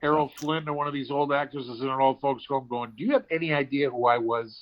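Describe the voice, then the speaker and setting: At a moderate pace, a man with an American accent speaks in a plain, everyday voice, fairly high in pitch with ordinary pitch variation. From Cleveland area, US. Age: 60s. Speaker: stand-up comedian and actor. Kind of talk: casual chat.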